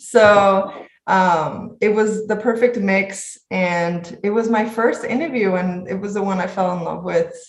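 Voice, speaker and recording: A woman with a Spanish accent speaks at a fairly slow pace with hardly any pauses and fairly even intonation, in audible room echo. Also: medium pitch for a woman. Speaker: medical resident. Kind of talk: interview.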